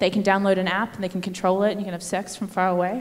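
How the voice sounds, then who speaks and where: With an Australian accent, a woman is talking. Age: 30s. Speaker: comedian. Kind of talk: stand-up. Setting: stage with audience. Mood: playful, mock-sincere. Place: stage. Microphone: handheld.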